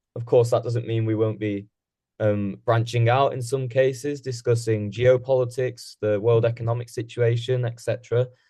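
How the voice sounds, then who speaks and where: A man with a British accent, medium pitch and dark, mellow tone, somewhat breathy, monotone, flat intonation at a moderate pace. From England. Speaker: podcast co-host. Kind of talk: casual podcast discussion.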